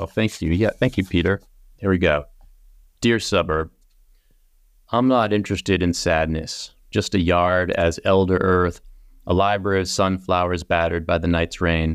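In an American accent, a man speaks at a very deep, low pitch with fairly even intonation and very even loudness, at a moderate pace with long, frequent pauses. The recording is very clean, with a silent background. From Massachusetts, US. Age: middle-aged. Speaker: poet. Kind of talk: interview conversation; poetry reading. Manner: halting, many fillers.

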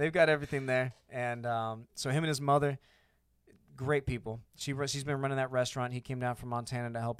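A man with a plain, everyday voice and an American accent speaks at a fairly quick pace, with a medium pitch and fairly even intonation. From Arizona, US (born Panama, military family). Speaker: air force veteran and business owner. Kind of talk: casual chat. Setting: studio.

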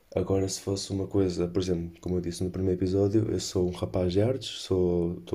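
A man speaks with a European Portuguese accent. His very deep, low voice has a dark, mellow tone. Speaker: podcaster. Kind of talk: casual chat.

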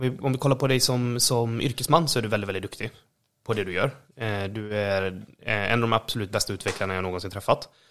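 A man with a normal speaking voice, medium pitch and ordinary pitch variation, in a very clean recording with a silent background. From western Sweden, Borås. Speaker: podcast co-host. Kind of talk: casual chat. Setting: at home.

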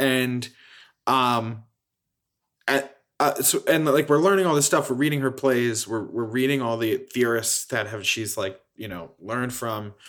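A man with an American accent speaks at a fairly slow pace and medium pitch in an ordinary speaking voice. The recording is very clean, with a silent background. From Philadelphia. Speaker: playwright. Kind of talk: interview.

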